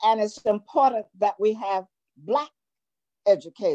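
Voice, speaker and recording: With a Virginia accent, a woman talks at a fairly slow pace in a dark, mellow tone, her fairly high pitch moving with lively intonation over a quiet background. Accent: US South, Virginia. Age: 90s. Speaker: retired educator. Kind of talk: interview. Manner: halting, repeating words. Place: home room. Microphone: video call.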